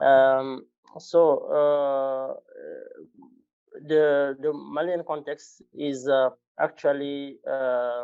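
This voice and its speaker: Speaking very slowly with long, frequent pauses, a man with a non-native accent keeps a fairly high pitch and a monotone, flat intonation. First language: not English. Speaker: humanitarian NGO worker. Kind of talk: conference presentation. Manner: halting.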